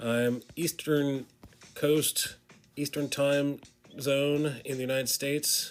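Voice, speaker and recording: Flat, monotone delivery from a fairly high-pitched man at a very slow pace with long, frequent pauses. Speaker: comic artist streamer. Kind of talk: casual chat while drawing on live stream.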